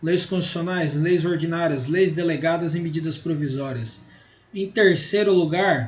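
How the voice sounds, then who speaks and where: A man speaks loudly, his pitch high for a man. The room echo is clearly audible. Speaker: law teacher. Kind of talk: lecture. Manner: gets loud as the class goes on.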